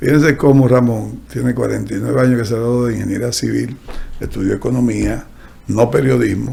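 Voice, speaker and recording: A man talks fairly quickly as noticeable background noise carries on behind him. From Dominican Republic, San Pedro de Macorís. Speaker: podcast host, economist. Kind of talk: interview conversation.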